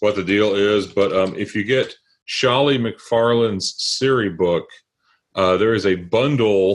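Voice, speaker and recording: A man with a strong Southern US accent, ordinary pitch variation and a quiet background. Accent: thick Southern. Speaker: tech book author. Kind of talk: interview. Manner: halting, many fillers.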